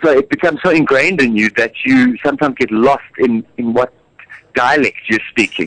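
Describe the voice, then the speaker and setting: In a South African accent, a man talks at a fairly quick pace and medium pitch, with very even loudness, ordinary pitch variation and a dry, close sound with no echo. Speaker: musical theatre actor. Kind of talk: radio interview. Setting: radio studio. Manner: hesitant, many fillers and repeats.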